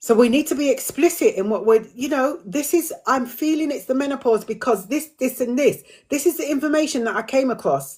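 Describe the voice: At a fairly quick pace with few pauses, a woman speaks in a high voice with a slightly husky edge and ordinary pitch variation.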